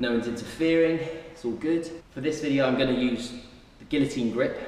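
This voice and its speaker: A man's very fast speech with ordinary pitch variation and audible room echo. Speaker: personal trainer. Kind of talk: tutorial. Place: gym. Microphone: camera far.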